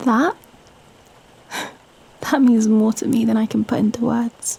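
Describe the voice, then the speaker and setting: Fairly even intonation and a fairly slow pace come through noticeable background noise. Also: woman, fairly high pitch for a woman. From Britain. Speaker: ASMR performer. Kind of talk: girlfriend ASMR script reading, intimate late-night talk. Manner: soft, intimate, hesitant, wholesome.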